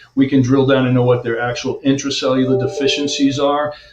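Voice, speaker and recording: This man's pitch sits in the medium range, and his voice is somewhat breathy. He speaks at a fairly quick pace. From US Northeast, Long Island, New York. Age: 60s. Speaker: chiropractor. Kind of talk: interview.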